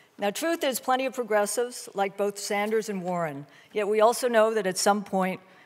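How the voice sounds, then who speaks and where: A woman talks at a fairly quick pace with ordinary pitch variation. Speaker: event host introducing a debate. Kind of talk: formal opening remarks. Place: hall. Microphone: podium.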